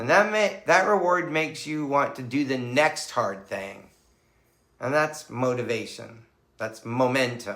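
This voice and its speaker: At a fairly slow pace, a man with a fairly high pitch speaks in a normal speaking voice with lively intonation. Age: 60s. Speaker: psychotherapist and equestrian. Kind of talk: motivational talk to camera.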